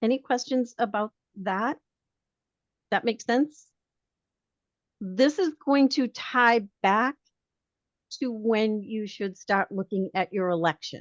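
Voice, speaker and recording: Speaking very slowly with long, frequent pauses, a woman with an American accent uses a fairly high voice and ordinary pitch variation against a quiet background. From Boston, Massachusetts. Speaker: realtor association leader. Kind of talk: webinar training presentation. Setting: video call. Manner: conversational.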